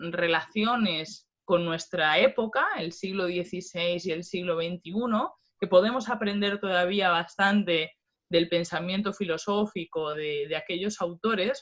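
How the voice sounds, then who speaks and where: A woman is speaking. Her pace is fairly slow. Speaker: philosophy professor. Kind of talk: lecture.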